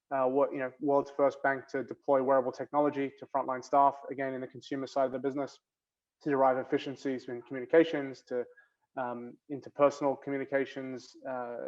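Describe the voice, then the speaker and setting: With an Australian accent, a man speaks at a fairly quick pace in a monotone, flat intonation. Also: medium pitch for a man, big swings in loudness. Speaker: bank innovation executive. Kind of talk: panel discussion. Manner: hesitant, many fillers.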